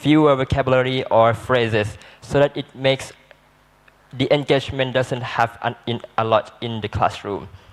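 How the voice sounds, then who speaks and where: Here a man speaks at a medium pitch and a moderate pace. His intonation stays monotone and flat. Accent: Malaysian. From southern Thailand, Patani Malay speaking. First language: Malay. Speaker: student panelist. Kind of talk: panel discussion. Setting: seminar. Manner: halting.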